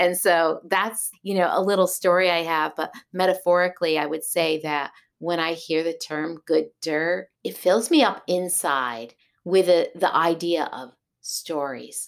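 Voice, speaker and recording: In a plain, everyday voice, a woman speaks fairly slowly with an American accent, her pitch fairly low and ordinarily varied. The recording is very clean, with a silent background. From Massachusetts (Berkshires). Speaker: sheep and fiber farmer. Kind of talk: interview.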